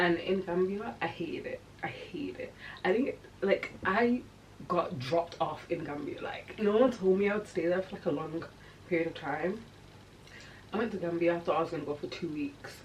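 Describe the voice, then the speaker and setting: The speaker leaves long, frequent pauses, using ordinary pitch variation over noticeable background noise. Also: woman, medium pitch for a woman, moderate pace. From England. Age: 20s. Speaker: YouTuber. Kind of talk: personal storytelling vlog. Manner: casual, conversational with fillers.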